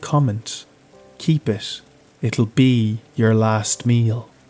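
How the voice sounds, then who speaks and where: This man talks at a very slow pace. There is music behind him. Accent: Irish. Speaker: horror narrator. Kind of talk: horror story narration.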